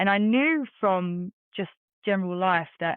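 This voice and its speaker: This woman speaks at medium pitch. She talks with an English accent. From London, England. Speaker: bitcoin community organizer. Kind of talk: interview.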